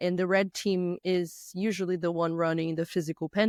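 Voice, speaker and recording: A woman with a Brazilian Portuguese accent talks at a moderate pace and a fairly low pitch. The sound is dry and close with no echo, in a very clean recording with a silent background. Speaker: physical pen tester and red teamer. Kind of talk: podcast interview. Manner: occasional halting and word searching.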